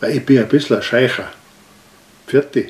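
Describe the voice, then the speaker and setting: A man is speaking. He has an Austrian accent. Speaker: dialect poet. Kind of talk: poetry reading. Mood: humorous storytelling. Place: home room. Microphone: camera far.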